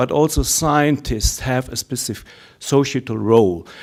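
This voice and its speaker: With ordinary pitch variation and a medium pitch, a man speaks at a fairly slow pace. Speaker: research ethics network representative. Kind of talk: conference Q&A comment. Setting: conference hall. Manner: halting, many filler words.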